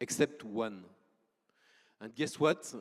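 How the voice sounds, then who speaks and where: Speaking at a fairly slow pace, a man with a French accent uses ordinary pitch variation. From France. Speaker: startup founder. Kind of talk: conference presentation.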